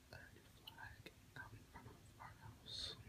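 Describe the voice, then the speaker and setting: A man whispers in a calm tone over noticeable background noise. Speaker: ASMR creator. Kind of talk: ASMR ramble to camera, relaxation. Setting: bedroom, lying in bed. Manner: whispered, soft-spoken, calm.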